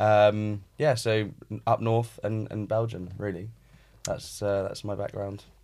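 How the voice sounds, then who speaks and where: A man at a very slow pace, fairly low in pitch, with monotone, flat intonation on a very clean recording with a silent background. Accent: British. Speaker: real estate advisor. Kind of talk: casual chat.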